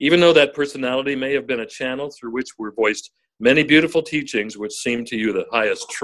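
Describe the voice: Quiet background behind plain reading aloud.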